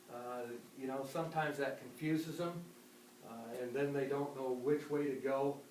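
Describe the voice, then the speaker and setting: In a room with audible echo and noticeable background noise, a man with a fairly high pitch speaks at a moderate pace with fairly even intonation. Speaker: sports coach. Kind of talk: parents' meeting talk. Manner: gruff, sounds grouchy; many filler uhs.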